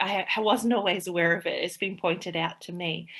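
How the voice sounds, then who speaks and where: This voice carries an Australian accent and fairly even intonation. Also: woman. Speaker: play therapist and early childhood teacher. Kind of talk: interview conversation. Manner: halting, many fillers.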